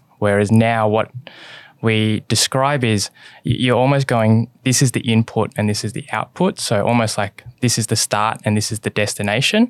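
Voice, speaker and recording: Speaking at a moderate pace with an Australian accent, this voice keeps a fairly even intonation, recorded very cleanly against a silent background with a dry, close sound and no echo. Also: man, medium pitch for a man. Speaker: investment analyst. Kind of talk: casual interview chat. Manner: frequent fillers (um, sort of).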